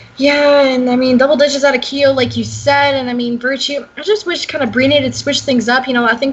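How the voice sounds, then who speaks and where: Noticeable background noise sits behind this woman's voice. She talks at a very fast pace with a high pitch. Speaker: esports caster. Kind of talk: live commentary. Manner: stuttering.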